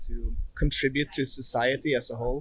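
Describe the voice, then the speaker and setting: A man with a Norwegian accent talks at a moderate pace, at a fairly high pitch, with fairly even intonation. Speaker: tourist. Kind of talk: street interview.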